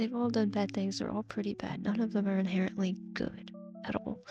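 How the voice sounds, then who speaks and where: A woman talks at a medium pitch with ordinary variation. Music sits in the background. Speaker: online video content creator. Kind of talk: casual Q&A talk to camera.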